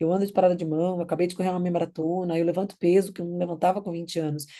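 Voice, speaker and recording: A woman talks at a very fast pace, her voice fairly low in pitch with a dark, mellow tone over a quiet background. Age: 40s. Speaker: nutritionist. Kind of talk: lecture. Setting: recorded online class.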